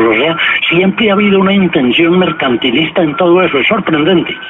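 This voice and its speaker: Over music in the background, a man with a high pitch talks at a fairly quick pace. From Colombia, Pereira. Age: 70s. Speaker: journalist and writer. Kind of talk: radio interview.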